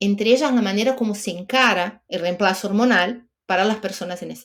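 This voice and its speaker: Her loudness swings widely as a woman speaks at a medium pitch. The pitch varies in an ordinary way. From Brazil. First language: Portuguese (speaking Spanish). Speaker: menopause expert guest. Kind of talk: podcast interview.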